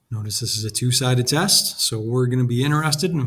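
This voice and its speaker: A man talks at a very fast pace. Noticeable background noise runs beneath him. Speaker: statistics teacher. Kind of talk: lecture.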